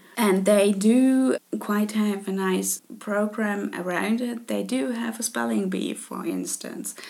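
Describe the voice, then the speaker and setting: A woman with a German accent at a fairly slow pace. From Germany, Leipzig (Saxony). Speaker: podcast host. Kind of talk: casual monologue. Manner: hesitant with filler words.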